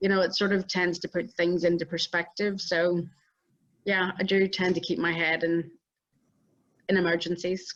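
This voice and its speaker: Speaking at a moderate pace with long, frequent pauses, a woman keeps a fairly low pitch, very even loudness and a monotone, flat intonation. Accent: Northern Irish. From Northern Ireland. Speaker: entrepreneur and inventor. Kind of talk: interview. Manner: calm.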